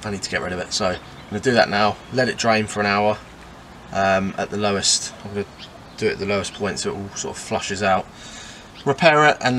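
A man with an unremarkable speaking voice talks at a fairly quick pace, pitched fairly low with ordinary pitch variation, over light background noise. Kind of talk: casual vlog chat. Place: car. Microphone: camera far.

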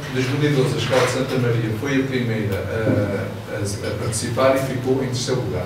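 A man talks at a moderate pace amid strong room echo and noticeable background noise. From Venezuela. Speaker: computer science teacher. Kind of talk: short conference talk. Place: hall.

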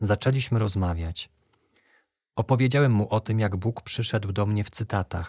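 A man speaks at a moderate pace, somewhat breathy, with ordinary pitch variation. The very clean recording has a silent background and a dry, close sound with no echo. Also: fairly low pitch for a man. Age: 20s. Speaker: young man giving a faith testimony. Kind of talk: testimony.

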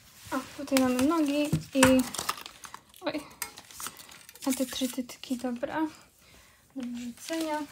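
Against noticeable background noise, a woman speaks very slowly in a high, monotone, flat voice. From Poland. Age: 20s. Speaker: vlogger. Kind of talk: casual vlog. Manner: halting. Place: home room. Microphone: phone near.

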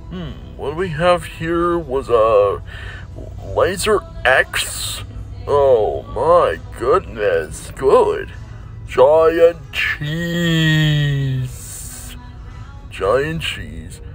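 A man speaks very slowly, with long, frequent pauses. Faint music plays behind his dry voice, which has no echo. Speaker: toy puppeteer vlogger. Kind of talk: casual vlog chat. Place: shop. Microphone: phone near.

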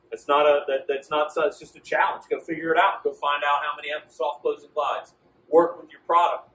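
A man talks at a fairly quick pace in a fairly high pitch, with big swings in loudness. Room echo is audible. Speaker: sales trainer. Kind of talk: training presentation. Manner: confident; animated. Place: shop.

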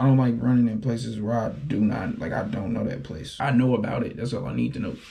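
A man's very fast speech with vocal fry and ordinary pitch variation. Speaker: vlogger. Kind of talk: casual vlog chat. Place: bathroom. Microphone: phone near.

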